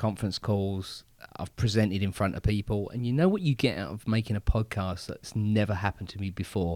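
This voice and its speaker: With an English accent, a man speaks at a fairly quick clip in a fairly low voice and fairly even intonation, recorded dry and close with no echo on a very clean track with a silent background. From England. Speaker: podcast co-host. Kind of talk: casual chat.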